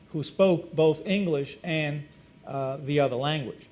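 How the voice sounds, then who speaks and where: Lively intonation marks this man's speech. He has a Spanish accent. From Spanish-speaking country, moved to US at nine. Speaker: former school superintendent and educator. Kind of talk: panel discussion. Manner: hesitant, many repetitions and fillers.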